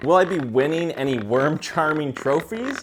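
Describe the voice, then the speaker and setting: A man speaks in an animated tone at a fairly slow pace, his pitch fairly high. Noticeable background noise runs under his voice. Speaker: DIY video creator. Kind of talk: vlog narration.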